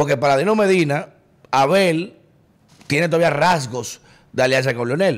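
A man speaks at a moderate pace with lively intonation. His pitch is fairly high. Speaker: podcast host. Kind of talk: political interview. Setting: studio.

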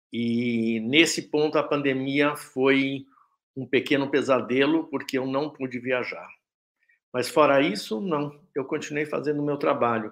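The man has an ordinary speaking voice with a fairly high pitch. He speaks at a fairly slow pace with fairly even intonation over a quiet background. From Brazil, São Paulo. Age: 60s. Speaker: artist. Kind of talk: interview.

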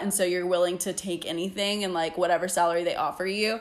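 A normal speaking voice from a woman, mid-range in pitch and fairly level in intonation. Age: 20s. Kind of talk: casual chat.

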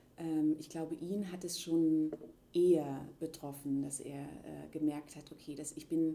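Very deep and low, a woman's voice comes in a dark, mellow tone. She speaks at a very slow pace with flat, monotone intonation. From eastern Germany (Leipzig). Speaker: interviewee, contemporary witness. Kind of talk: casual conversation. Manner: halting, many fillers.

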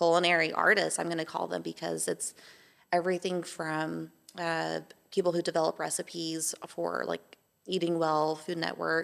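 A woman at a moderate pace, on a very clean recording with a silent background. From Texas, Amarillo. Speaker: baker and small business owner. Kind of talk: interview conversation.

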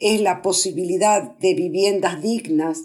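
A woman speaks very slowly in a dark, mellow tone. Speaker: human rights activist, Mothers of Plaza de Mayo member. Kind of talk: radio interview, formal speech.

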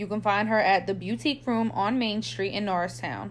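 Using vocal fry, a woman talks at a fairly quick pace. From Puerto Rican heritage, US. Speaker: podcast host. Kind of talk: casual chat.

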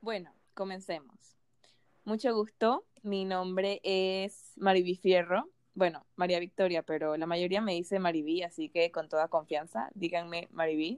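Ordinary pitch variation runs through a normal speaking voice. It moves at a fairly slow pace. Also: woman, medium pitch for a woman. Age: 20s. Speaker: podcast host, nutrition student. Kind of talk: casual podcast intro.

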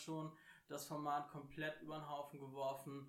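Moderate pace with audible room echo. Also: man. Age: 30s. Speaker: podcast co-host, card game player. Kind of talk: casual chat.

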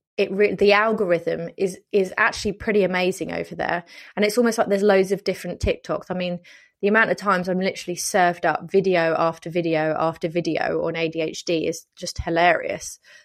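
A woman with a British accent, medium in pitch, at a fairly quick pace against a quiet background. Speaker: podcast host and wedding planner. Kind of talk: solo podcast tutorial. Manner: animated.

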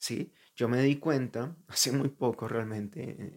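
An unremarkable speaking voice, a man's at medium pitch with ordinary pitch variation, comes through a very clean recording with a silent background. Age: 20s. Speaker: podcaster. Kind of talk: personal monologue. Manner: casual.

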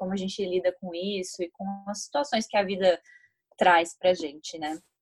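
A woman's unremarkable speaking voice at a moderate pace, with fairly even intonation. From Brazil, São Paulo. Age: 20s. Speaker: podcast co-host, psychology student. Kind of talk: storytelling.

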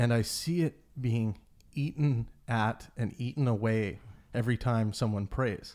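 Using a normal speaking voice with a Canadian accent, a man talks fairly slowly at medium pitch, with very even loudness and ordinary pitch variation. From Canada. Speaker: podcast host. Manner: casual.

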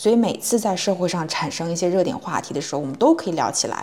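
With lively intonation and a medium pitch, a woman talks as noticeable background noise carries on behind her. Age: 20s. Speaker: podcast co-host, tech company HR. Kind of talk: casual chat.

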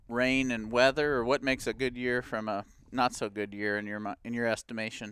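A man with a medium-pitched, normal speaking voice talks at a fairly quick pace with fairly even intonation, recorded very cleanly against a silent background. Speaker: podcast host, conservation director. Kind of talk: casual chat.

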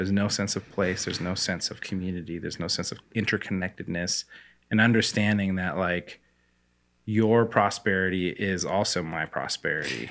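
A man speaks at a moderate pace with a Pacific Northwest accent, his pitch very deep and low. His intonation stays fairly even, and the very clean recording has a silent background. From US Pacific Northwest, Spokane, Washington. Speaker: coffee company founder. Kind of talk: interview conversation.

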